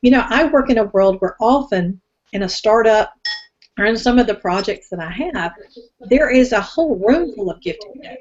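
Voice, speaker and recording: With lively intonation and big swings in loudness, a woman speaks at a fairly high pitch. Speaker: teacher and business owner on a women's discussion panel. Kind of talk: casual group discussion. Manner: fast.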